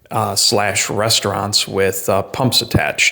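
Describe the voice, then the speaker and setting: A man speaks at a fairly slow pace with a fairly low pitch. His pitch variation is ordinary. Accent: New England. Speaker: vlogger. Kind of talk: casual monologue. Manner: hesitant, many fillers.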